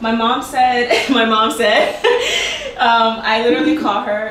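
A woman speaks at a fairly slow pace with very even loudness and fairly even intonation. Light background noise and audible room echo surround her voice. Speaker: home cook host. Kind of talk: casual cooking vlog chat. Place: kitchen. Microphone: camera far.

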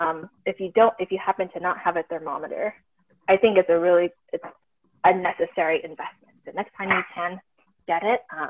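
A woman talks at a fairly quick pace and a fairly low pitch, her intonation fairly even. The sound is dry and close, with no echo.

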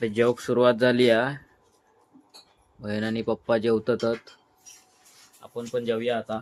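The man's medium-pitched voice stays monotone and flat. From Mumbai, Konkan roots. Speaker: vlogger. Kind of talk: casual vlog narration.

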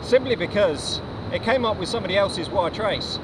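A man's voice against loud background noise. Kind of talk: casual vlog chat. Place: boat. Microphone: camera far.

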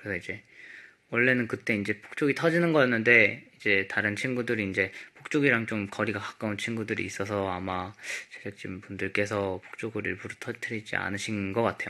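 Against a quiet background, a man talks at a fairly quick pace in a fairly low voice with a bright, sharp tone. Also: ordinary pitch variation. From South Korea. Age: 20s. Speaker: K-pop idol. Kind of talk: casual chat. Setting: livestream from company practice room. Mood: calm, polite, relaxed. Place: home room. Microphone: phone near.

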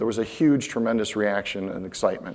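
Fairly quick speech from a man, ordinary pitch variation throughout. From Florida. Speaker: space industry executive; conference speaker. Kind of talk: conference talk. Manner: halting, many fillers. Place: stage. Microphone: lapel.

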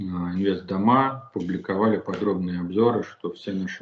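A man speaks at a moderate pace in a very deep, low pitch. His intonation stays fairly even, with light background noise behind him. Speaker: guest. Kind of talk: interview answer. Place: home room.

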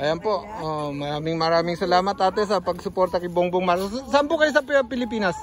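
Clear music plays in the background as a man with a high pitch talks at a fairly quick pace, the voice itself dry with no echo. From Southern Leyte, Philippines; Philippines. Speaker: YouTube vlogger. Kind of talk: casual vlog with street interviews. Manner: animated. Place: garden. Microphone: phone near.

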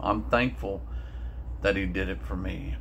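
A man's very deep, low voice with vocal fry, very wide pitch swings, a moderate pace and light background noise. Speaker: speaker. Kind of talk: devotional talk, sermon-like. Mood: earnest, reflective. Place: home room. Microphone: phone near.

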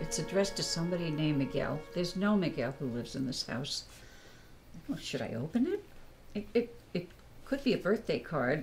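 With music in the background, the speech runs at a fairly quick pace with very wide pitch swings. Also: woman. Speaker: actor in a scripted scene. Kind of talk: acted phone conversation. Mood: fretful, exasperated. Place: home room.

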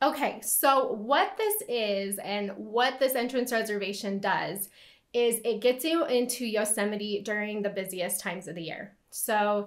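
A woman speaks fairly slowly with ordinary pitch variation against a quiet background. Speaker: travel guide. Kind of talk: tutorial. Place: home room.

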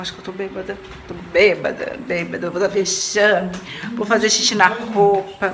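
Noticeable background noise fills the recording. Through it, a woman speaks. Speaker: home vlogger. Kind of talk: casual vlog chat. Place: kitchen. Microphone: phone near.

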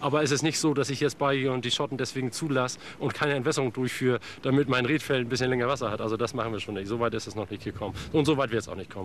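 A man talks at a very fast clip in a fairly even intonation. Noticeable background noise sits under his voice. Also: medium pitch for a man. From northern Germany, Schleswig-Holstein. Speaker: reed farmer and lock keeper. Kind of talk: casual interview.

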